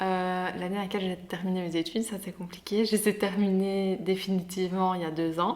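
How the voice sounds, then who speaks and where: Here a woman talks at a medium pitch. Her intonation is monotone and flat. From Belgium, Liège area (Herstal). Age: 20s. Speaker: anthropology graduate. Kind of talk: podcast interview. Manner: hesitant, many fillers.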